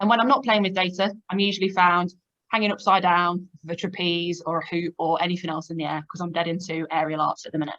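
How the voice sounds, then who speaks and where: At a very fast pace, the woman talks in a medium pitch. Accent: Leicester. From England, Leicester. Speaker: data analytics manager. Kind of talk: presentation. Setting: online video meeting.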